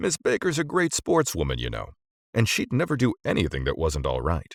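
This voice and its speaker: A man speaks in a put-on character voice at a fairly quick pace. The sound is dry and close, with no echo. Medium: read story. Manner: smooth, genial.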